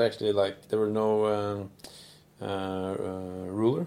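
At a fairly slow pace, a man speaks in a plain, everyday voice with a fairly low pitch. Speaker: podcast host. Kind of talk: casual chat. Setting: studio.

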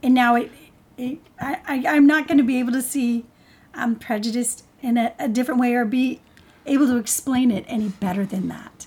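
A woman speaks at a moderate pace with a high pitch and ordinary pitch variation. Noticeable background noise runs under her voice. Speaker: life coach and podcast co-host. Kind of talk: podcast interview.

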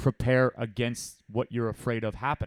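A man's medium-pitched voice at a fairly slow pace, with dry, close sound and no echo. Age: 30s. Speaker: gym owner and coach. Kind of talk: casual chat.

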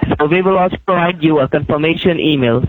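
Speech comes at a fairly quick pace with ordinary pitch variation over noticeable background noise. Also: man. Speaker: scammer caller. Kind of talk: scam phone call. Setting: phone call.

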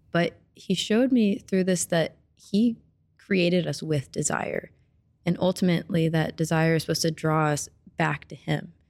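Here is a woman with an American accent and an ordinary speaking voice, fairly low in pitch. She talks at a moderate pace with ordinary pitch variation and very even loudness. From US Midwest (Springfield, Missouri). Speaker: student, former ministry intern. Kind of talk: casual interview testimony.

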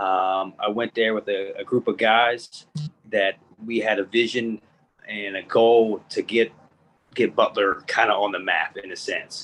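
With music in the background, a man with an American accent talks at a fairly slow pace. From Indiana, US Midwest. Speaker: college basketball coach. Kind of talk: casual interview.

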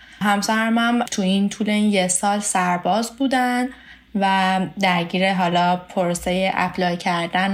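A moderate pace and fairly even intonation, in a Tehran accent. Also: woman. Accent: Tehran Persian. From Iran, Tehran. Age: 20s. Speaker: student, spouse of an international student. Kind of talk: interview, casual chat.

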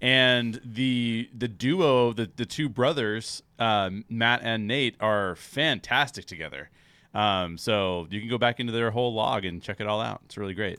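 A man with an unremarkable speaking voice, medium in pitch, fairly slow in pace, with ordinary pitch variation. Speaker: podcast host. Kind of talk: casual podcast chat.

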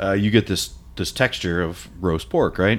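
Someone speaks with an American accent on a very clean recording with a silent background. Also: man. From Ohio. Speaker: barbecue critic and writer. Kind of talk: casual chat.

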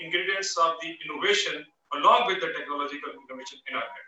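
A man talks with music in the background. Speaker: former energy agency chief executive. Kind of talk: panel webinar presentation. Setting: video call webinar.

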